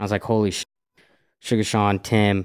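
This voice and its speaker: In a very clean recording over a silent background, an ordinary speaking voice talks at a fairly quick pace. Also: man. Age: 20s. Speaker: podcast host. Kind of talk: casual chat.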